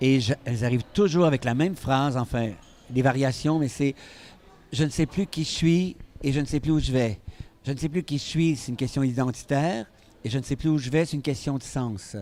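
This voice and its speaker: A man with a Quebec accent speaks at a moderate pace in a dark, mellow tone, his pitch fairly high with ordinary variation and his loudness swinging widely. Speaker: physician and stress expert. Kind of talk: interview.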